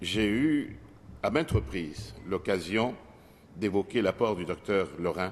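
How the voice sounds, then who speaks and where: The man's intonation is lively, and he keeps a moderate pace. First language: not French (French is his fourth language) (speaking French). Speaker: politician. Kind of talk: parliamentary speech. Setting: legislative assembly chamber. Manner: formal.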